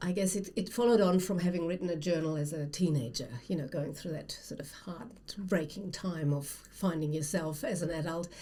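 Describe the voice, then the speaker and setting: There is audible room echo around a woman's fairly low, somewhat breathy voice. Her tone is dark and mellow, and her intonation stays fairly even. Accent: German. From Germany. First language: German. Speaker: writer, former academic. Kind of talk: casual conversation.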